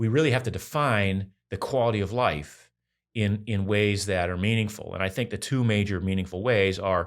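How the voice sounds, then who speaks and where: A man with a plain, everyday voice speaks at a moderate pace in a fairly low pitch. His pitch variation is ordinary, and the recording is very clean, with a silent background. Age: 60s. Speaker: health and fitness author. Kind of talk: interview conversation.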